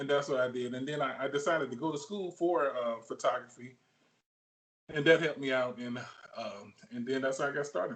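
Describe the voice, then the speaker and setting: Speaking at a fairly quick pace, a man with a Southern US accent has a fairly high pitch. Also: ordinary pitch variation. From Alabama. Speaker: sports photographer. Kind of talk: interview. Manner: halting, many fillers.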